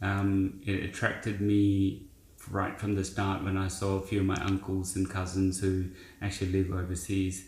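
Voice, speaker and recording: A man speaks in a very deep, low pitch at a moderate pace, somewhat breathy, with audible room echo. His intonation is flat and monotone, and his loudness stays very even. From India. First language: Indian language. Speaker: business founder. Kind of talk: interview.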